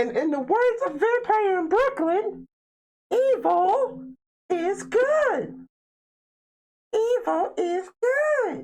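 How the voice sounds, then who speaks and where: In a put-on character voice, the speaker squeaks at an extremely high pitch with very wide pitch swings, talking very slowly with long, frequent pauses. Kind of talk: spooky show host. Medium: solo performance. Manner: amused, laughing.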